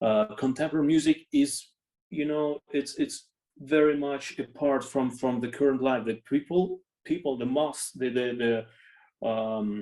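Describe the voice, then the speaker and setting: A man's fairly high voice, dark and mellow in tone, at a fairly slow pace with ordinary pitch variation. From Russia. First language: not English. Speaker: orchestra conductor. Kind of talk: interview. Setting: video call. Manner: halting, many fillers and repeats.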